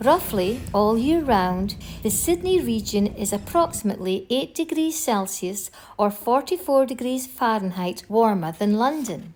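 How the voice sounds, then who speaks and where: At a fairly slow pace, the voice is somewhat breathy and moves through very wide pitch swings. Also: woman, fairly high pitch for a woman. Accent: Scottish. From northeast Scotland. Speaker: travel vlogger. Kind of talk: scripted narration.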